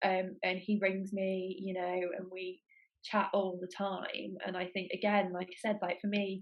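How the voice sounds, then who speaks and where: Speaking at a fairly slow pace, a woman keeps a monotone, flat intonation at medium pitch while her loudness swings widely. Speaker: golf social media personality. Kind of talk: casual chat.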